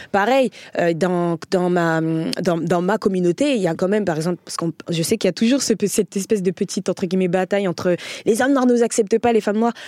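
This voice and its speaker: At a very fast pace, a woman talks at medium pitch with ordinary pitch variation, in a very clean recording with a silent background and a dry, close sound with no echo. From France, Paris area. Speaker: comedian. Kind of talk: casual chat.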